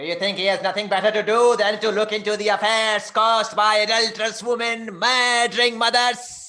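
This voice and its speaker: Using a put-on character voice pitched high, a man speaks at a moderate pace with hardly any pauses. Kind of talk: ritual possession theatre. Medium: stage play. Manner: commanding, taunting.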